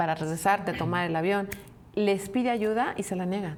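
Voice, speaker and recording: This woman's pitch varies in an ordinary way while noticeable background noise is present. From Mexico, provinces. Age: 60s. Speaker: podcast co-host. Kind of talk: casual chat.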